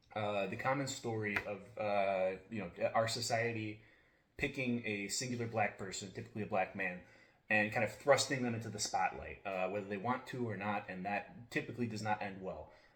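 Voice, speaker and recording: Amid noticeable background noise, a man speaks at a fairly low pitch with fairly even intonation. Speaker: book reviewer. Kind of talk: casual monologue. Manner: many fillers and restarts; fast.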